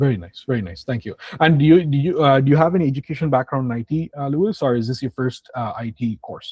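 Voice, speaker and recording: A somewhat breathy man at a fairly high pitch, with lively intonation, a very fast pace and hardly any pauses. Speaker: IT training instructor. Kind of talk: online class introductions and career advice. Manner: casual, repetitive fillers.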